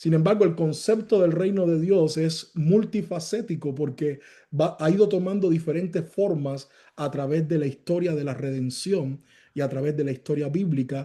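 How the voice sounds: A man speaks at a moderate pace with few pauses and ordinary pitch variation. His voice is fairly high in pitch, with a dark, mellow tone.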